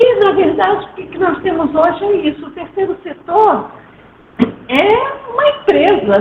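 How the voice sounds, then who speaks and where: A woman speaks at a fairly slow pace with very wide pitch swings, over noticeable background noise. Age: 70s. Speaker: nonprofit co-founder and speaker. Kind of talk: online talk. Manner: halting.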